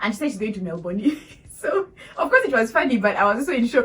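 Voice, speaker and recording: An animated woman talks with very wide pitch swings. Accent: Ugandan. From Uganda. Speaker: vlogger, international student. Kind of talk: casual storytelling vlog.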